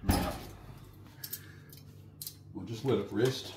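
Noticeable background noise sits behind a man talking at a fairly slow pace. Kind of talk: casual cooking tutorial. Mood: relaxed, jokey. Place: kitchen. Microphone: phone near.

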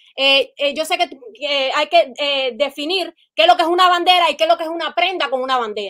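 A woman at a moderate pace, with high pitch and lively intonation, and music in the background. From Cuba. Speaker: live-stream participant. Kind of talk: heated debate.

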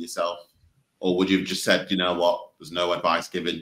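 A man speaks with a Mancunian accent. His voice sits very deep and low. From Manchester, England. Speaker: podcast host. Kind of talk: scripted outro; interview.

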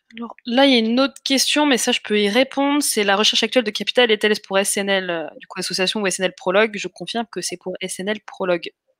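A woman's fairly high voice with ordinary pitch variation, in a dry, close sound with no echo. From France, Essonne. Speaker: crowdfunding campaign manager hosting live investor Q&A. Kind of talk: live webinar Q&A moderation. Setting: live online video stream. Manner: hesitant, many fillers.

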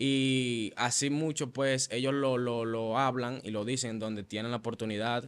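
Fairly even intonation marks a man's speech, delivered at a fairly slow pace. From Venezuela, Maracay (Aragua); Venezuela. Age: young. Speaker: church musician and worship leader; interview guest. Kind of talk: testimony. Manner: halting, with frequent fillers and repetitions. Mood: earnest, reflective. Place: studio. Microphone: studio mic.

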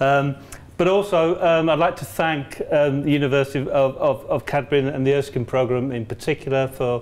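With fairly even intonation, a man keeps to a moderate pace. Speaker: visiting lecturer. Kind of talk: lecture. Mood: warm, jokey, smiling. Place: classroom. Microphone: lapel.

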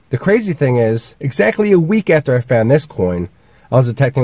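A man speaks at a moderate pace with a somewhat breathy, dark, mellow tone, the sound dry with no echo against a quiet background. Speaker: metal detecting vlogger. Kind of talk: casual vlog chat. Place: car. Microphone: phone near.

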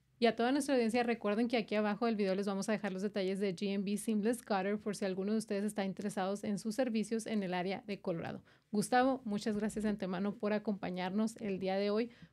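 Against a quiet background, a dark, mellow voice rushes along at a very fast pace with hardly any pauses and fairly even intonation. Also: woman. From Chihuahua, Mexico. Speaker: podcast host. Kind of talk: interview. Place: studio. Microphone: studio mic.

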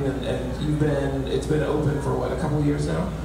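The recording carries strong room echo and noticeable background noise, with speech at a fairly quick pace. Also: man. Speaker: community organizer and event host. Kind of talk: event hosting and announcements. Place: hall. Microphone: handheld.

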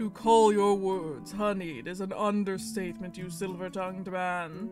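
A man's put-on character voice, high-pitched, at a moderate pace, with clear music in the background. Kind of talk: visual novel read-aloud, archaic courtly speech. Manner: shy, formal, deferential.

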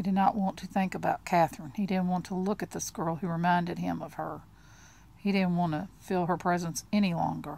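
A woman speaks fairly quickly in a fairly low voice with a dark, mellow tone. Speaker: audiobook narrator. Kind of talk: literary audiobook reading, with casual chatty asides before and after. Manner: conversational and friendly when she steps out of the text.

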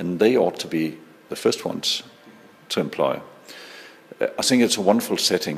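A man with a Danish accent, long and frequent pauses, noticeable background noise and audible room echo. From Denmark. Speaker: social entrepreneur. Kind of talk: interview. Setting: conference.

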